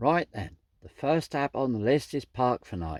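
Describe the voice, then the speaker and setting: Recorded very cleanly against a silent background, a man with a Suffolk accent talks at a medium pitch and a moderate pace with lively intonation, and the sound is dry and close with no echo. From Suffolk, England. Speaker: vanlife vlogger. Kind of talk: casual talk to camera. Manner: chatty, friendly.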